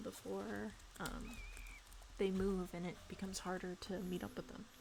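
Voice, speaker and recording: A woman speaks quietly at a medium pitch. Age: 20s. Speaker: video game streamer. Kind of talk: casual gameplay stream chat. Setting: bedroom in parents' house, live stream.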